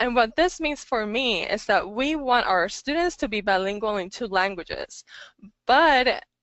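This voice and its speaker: This woman speaks with a Spanish accent. Her intonation is lively. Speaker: English language teacher and webinar presenter. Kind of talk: webinar presentation. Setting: online webinar. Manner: hesitant, many fillers.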